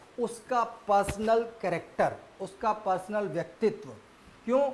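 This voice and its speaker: Pitched high, the man speaks with ordinary pitch variation. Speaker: history teacher for civil service exams. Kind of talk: lecture. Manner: casual, conversational.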